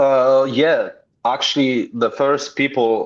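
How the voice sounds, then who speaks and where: A man with a Polish accent at a very slow pace, ordinary pitch variation, against a quiet background. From Poland. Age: 50s. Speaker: pro wrestler. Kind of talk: interview.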